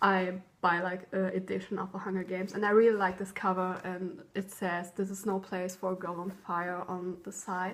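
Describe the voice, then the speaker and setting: The speech moves at a moderate pace with hardly any pauses. It has a German accent and monotone, flat intonation. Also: woman, medium pitch for a woman. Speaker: vlogger. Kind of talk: show-and-tell vlog. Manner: hesitant, many ums.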